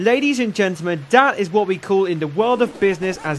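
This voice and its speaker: A man speaks at a moderate pace in a high pitch, with very wide pitch swings. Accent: English. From England. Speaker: video game reviewer. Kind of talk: scripted review narration.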